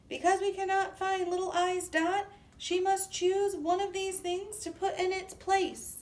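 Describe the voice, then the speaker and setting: This put-on character voice is loud and squeaky, moving at a moderate pace with monotone, flat intonation. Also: woman, extremely high pitch for a woman. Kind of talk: children's read-aloud. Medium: read story. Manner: loud, kindly.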